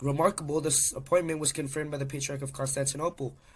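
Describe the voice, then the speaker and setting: A somewhat breathy man with a fairly high pitch, a monotone, flat intonation and a very fast pace. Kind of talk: history narration.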